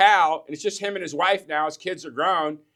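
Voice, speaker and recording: The voice has an animated delivery and a bright, sharp tone. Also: man. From US Midwest. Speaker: business coach. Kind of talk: motivational business talk. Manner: fast.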